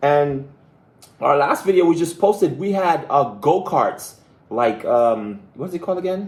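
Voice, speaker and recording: A man with a Belizean accent speaks at a fairly slow pace in a high pitch. His tone is animated and his intonation lively. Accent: Caribbean (Belizean). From Belize, Caribbean. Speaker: travel vlogger. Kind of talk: live stream chat. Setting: live stream. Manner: animated, excitable.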